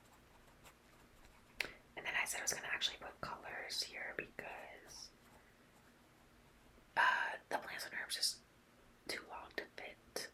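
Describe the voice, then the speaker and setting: A woman whispers with big swings in loudness and long, frequent pauses, against noticeable background noise. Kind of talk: ASMR journaling video, casual talk to camera. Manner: soft, rambling.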